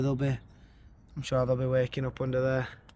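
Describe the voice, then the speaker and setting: This is a man speaking with a Yorkshire accent. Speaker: gardening YouTuber. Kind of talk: garden tour vlog. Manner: halting, repeats words.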